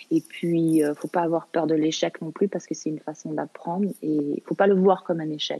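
The voice has a dark, mellow tone and monotone, flat intonation at a moderate pace. It runs on with hardly any pauses in a dry, close sound with no echo. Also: woman, fairly low pitch for a woman. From Canada. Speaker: actress and filmmaker. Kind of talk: interview. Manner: halting, many repetitions.

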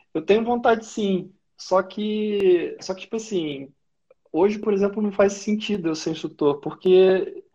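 With a dark, mellow tone, a man speaks at a high pitch and a moderate pace, his pitch varying in an ordinary way. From interior of Rio de Janeiro state (Valença). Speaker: offshore oil worker and skydiver. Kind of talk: casual live-stream interview.

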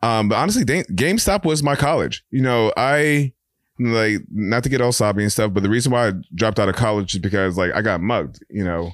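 A man's medium-pitched voice with a New York accent and lively intonation, on a very clean recording with a silent background. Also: fairly quick pace, very even loudness. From New York (Brooklyn and Queens). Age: 30s. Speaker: artist. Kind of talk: casual chat.

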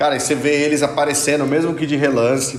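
Fairly high male voice over noticeable background noise, with audible room echo. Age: 30s. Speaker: podcast guest, fan expert. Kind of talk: casual chat.

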